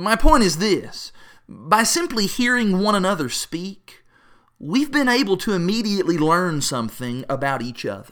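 A man with a Kentucky Appalachian accent talks at a moderate pace in a high, bright, sharp voice with very wide pitch swings, in a very clean recording with a silent background. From Appalachia, Kentucky. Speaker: preacher. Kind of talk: devotional talk.

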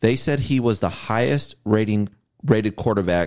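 In an American accent, a man with a fairly low pitch uses an ordinary speaking voice, lively intonation, and a moderate pace. The recording is very clean, with a silent background. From Ohio, Cleveland area. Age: 40s. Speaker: sports fan guest. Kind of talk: casual chat.

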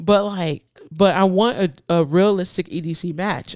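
This woman has a fairly low voice with an American accent. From US, urban neighborhood. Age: 30s. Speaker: police officer and competitive shooter. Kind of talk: casual chat. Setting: studio. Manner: animated.

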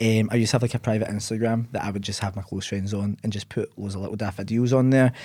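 A man with a Scottish accent talks at a very fast pace with hardly any pauses, his fairly low voice dark and mellow in tone. His intonation is monotone and flat, on a very clean recording with a silent background. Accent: Scottish (Ayrshire). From Scotland, Ayr. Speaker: content creator. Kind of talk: casual interview.

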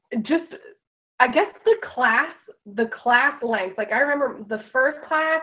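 A woman speaks with an American accent. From US, Delaware. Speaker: teacher. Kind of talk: casual chat. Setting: video call.

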